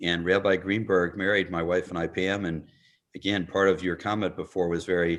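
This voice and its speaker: A man with an American accent and a very deep, low pitch talks at a fairly quick pace. His intonation stays monotone and flat over a quiet background. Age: 60s. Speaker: congregation member. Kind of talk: audience question. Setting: video call.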